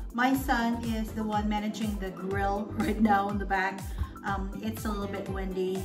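A woman speaks at a fairly slow pace while clear music plays in the background. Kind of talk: casual cooking vlog chat. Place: kitchen. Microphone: camera far.

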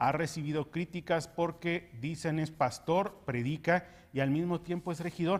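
The man's voice is high-pitched and his pace fairly slow. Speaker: news show co-host. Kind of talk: news reading with commentary.

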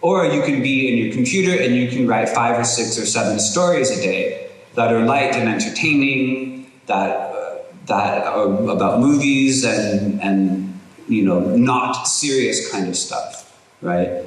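In a room with audible echo, a man speaks at a fairly slow pace with lively intonation. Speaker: university lecturer. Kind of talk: lecture. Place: hall. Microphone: podium.

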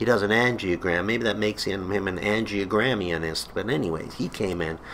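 Against light background noise, a man talks at a fairly quick pace and fairly low pitch with ordinary pitch variation. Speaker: vlogger. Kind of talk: comedic personal storytelling to camera. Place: home room. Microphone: webcam.

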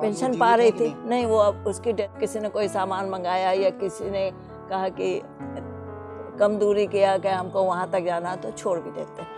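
Clear music plays behind a woman speaking at a fairly slow pace and medium pitch, with ordinary pitch variation and a dry sound with no echo. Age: 60s. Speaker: e-rickshaw driver. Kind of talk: interview answer. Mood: earnest, sometimes pained. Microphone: lapel.

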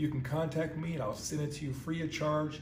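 A man speaks at a fairly quick pace with a somewhat breathy voice and fairly even intonation. Light background noise and audible room echo are present. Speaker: pastor. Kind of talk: sermon. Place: home room. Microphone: phone near.

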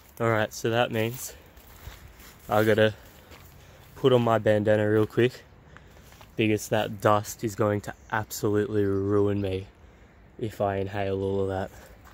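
A man speaks at a moderate pace and a fairly low pitch, his intonation flat and monotone, with long, frequent pauses. The recording is dry, with no echo. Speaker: explorer vlogger. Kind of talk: casual vlog chat. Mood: curious, slightly uneasy. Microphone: phone near.

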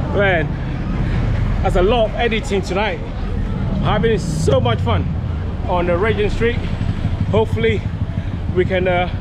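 A man at a fairly slow pace with long, frequent pauses, against loud background noise. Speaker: vlogger. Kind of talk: casual vlog chat. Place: street. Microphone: phone near.

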